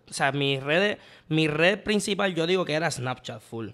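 The pitch shows ordinary variation. It comes from a man. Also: quiet background. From Puerto Rico, Santurce; Puerto Rico. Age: 20s. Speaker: comedian. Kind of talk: casual chat. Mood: playful, laughing. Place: home room. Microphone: studio mic.

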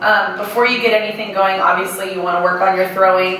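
A woman talks at a very fast pace in a room with strong echo and light background noise. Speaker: presenter. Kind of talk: lecture. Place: hall.

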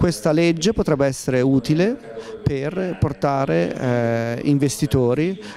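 A man talks at a slow pace in a dark, mellow tone, his fairly high pitch showing ordinary variation. Faint background noise can be heard.

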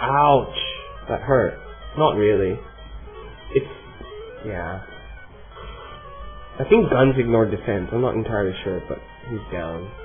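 A man's voice with ordinary pitch variation and long, frequent pauses over music in the background. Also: medium pitch for a man, fairly slow pace, big swings in loudness. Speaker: gamer. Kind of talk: casual gameplay commentary.

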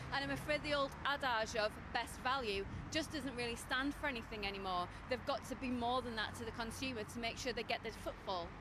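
Over noticeable background noise, a high-pitched woman talks at a fairly quick pace, the sound dry with no echo. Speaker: retail analyst. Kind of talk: news interview comment. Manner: fluent, confident, authoritative. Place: street.

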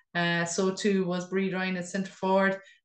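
A woman speaks in a monotone, flat intonation, with audible room echo and a quiet background. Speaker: podcast host. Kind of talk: sports news report. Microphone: webcam.

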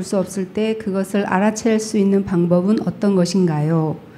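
There is light background noise behind a woman speaking. She keeps a moderate pace and fairly even intonation. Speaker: retreat participant. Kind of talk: audience question. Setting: uses microphone in audience. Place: hall.

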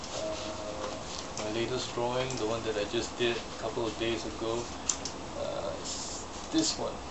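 A fairly slow pace against loud background noise. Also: man. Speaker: hobbyist vlogger. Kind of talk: casual talk to camera. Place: home room. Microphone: webcam.

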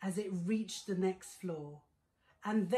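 Reading aloud in a natural voice, with fairly even intonation

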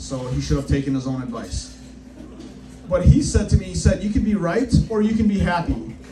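There is loud noise in the background while a man talks at a moderate speed. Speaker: stand-up comedian. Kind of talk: stand-up comedy set. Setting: comedy club stage with live audience. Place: stage. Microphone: camera far.

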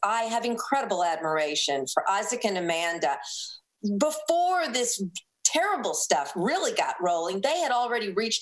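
Her pitch rises and falls over a very wide range. The woman keeps a moderate pace. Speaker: food radio host guest. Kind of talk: interview answer. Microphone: video call.

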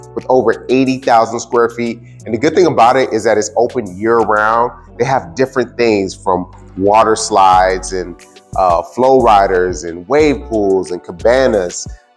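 A man talks fairly slowly, with faint music playing behind him. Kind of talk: promotional city tour talk to camera. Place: street. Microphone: lapel.

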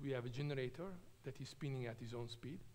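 Over light background noise, a man with a medium pitch and vocal fry talks at a fairly quick pace. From Italy, Trento; Italy. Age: 50s. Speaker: nuclear engineer; invited lecturer. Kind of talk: lecture. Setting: stage with audience. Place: hall. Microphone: podium.

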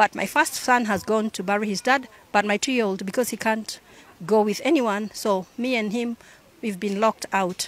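A woman at a moderate pace, dry sound with no echo. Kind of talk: interview answer. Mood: aggrieved, earnest. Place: street. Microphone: handheld.

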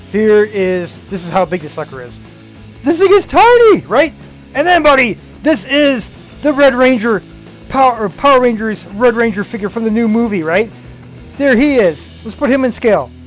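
Faint music plays in the background. A man talks at a moderate pace. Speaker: toy channel host. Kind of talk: excited toy unboxing commentary. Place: home room. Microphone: phone near.

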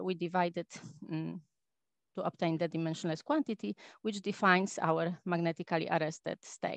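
This is an ordinary speaking voice: a woman with a fairly low pitch, ordinary pitch variation, and a moderate pace. The sound is dry with no echo, and the background is quiet. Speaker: astrophysicist; speaker. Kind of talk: lecture. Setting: video call. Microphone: video call.

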